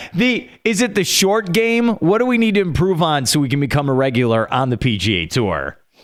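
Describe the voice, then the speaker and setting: A man with a fairly high pitch talks at a fairly quick pace with hardly any pauses, his pitch swinging very widely while his loudness stays very even. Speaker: sports radio host. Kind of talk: radio interview. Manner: fast; mumbling at times.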